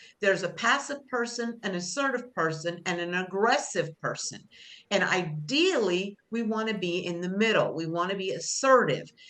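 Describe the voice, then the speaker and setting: With lively intonation, a woman speaks at a moderate pace and medium pitch. Audible room echo surrounds her voice. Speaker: job skills instructor. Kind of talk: class lecture. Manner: loud teacher voice; conversational, with fillers.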